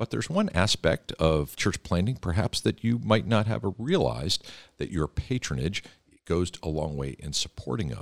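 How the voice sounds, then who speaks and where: A man speaks at a very deep, low pitch with vocal fry, and his pitch swings very widely. The sound is dry and close, with no echo. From Philadelphia, US Northeast. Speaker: church denomination leader and podcast host. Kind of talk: casual interview. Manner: fast talker; warm, chatty.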